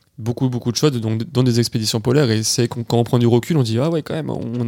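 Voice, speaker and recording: A man talks at a fairly quick pace. His tone is dark and mellow, with ordinary pitch variation. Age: 20s. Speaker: adventurer, polar expedition member. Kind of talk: casual interview.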